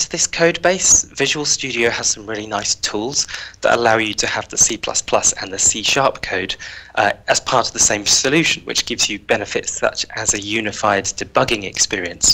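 Speaking at a moderate pace with a British accent, a man uses a medium pitch, ordinary pitch variation and a bright, sharp tone. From UK. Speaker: software engineer on a customer advisory team; guest. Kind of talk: technical tutorial. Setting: video call. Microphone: headset.

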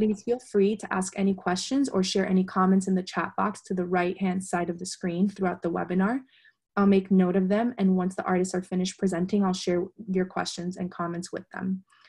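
A woman talks at a fairly quick pace with monotone, flat intonation. Her voice is somewhat breathy over a quiet background. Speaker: moderator for an arts organization. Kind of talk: webinar introduction. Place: home room. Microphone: video call.

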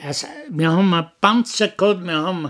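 In a Bavarian accent, the speech runs at a fairly slow pace with ordinary pitch variation. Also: man. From Upper Bavaria; Bavaria, Germany. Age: 80s+. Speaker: war veteran; witness. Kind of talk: interview answer. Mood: cheerful, laughing while telling. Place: home room. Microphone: studio mic.

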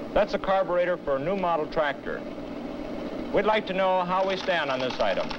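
Noticeable noise sits behind the voice. A man is talking fairly quickly. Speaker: lab engineer demonstrating product. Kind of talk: scripted product demonstration. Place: studio. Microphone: old recording.

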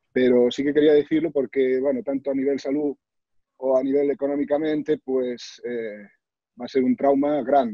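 Against a quiet background, a man with a fairly high pitch talks at a moderate pace with fairly even intonation and a dry sound with no echo. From Galicia, Spain (Sarria, Lugo). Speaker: author, cancer survivor and motivational speaker. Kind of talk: personal testimony. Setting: video call. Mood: reflective, earnest. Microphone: video call.

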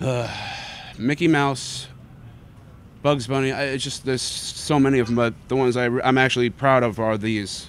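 Here a man talks at a moderate pace with fairly even intonation. The sound is dry with no echo, and there is light background noise. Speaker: guest. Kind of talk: interview answer. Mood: relaxed, laughing at times. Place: street. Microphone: handheld.

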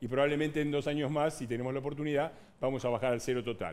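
A man's voice with a fairly high pitch. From Argentina. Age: 60s. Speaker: politician. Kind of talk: heated debate. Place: studio.

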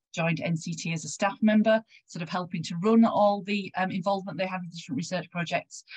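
A woman speaks with a West Yorkshire accent and a somewhat breathy voice. The background is quiet. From West Yorkshire, England. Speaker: health research involvement consultant. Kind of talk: conference presentation. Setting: video call. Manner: halting. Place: home room.

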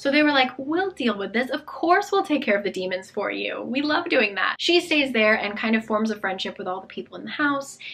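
Over noticeable background noise, a woman talks in a high, animated voice with very wide pitch swings, moving at a fairly quick pace with hardly any pauses. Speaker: book vlogger. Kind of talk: casual chat. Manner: chatty, animated.

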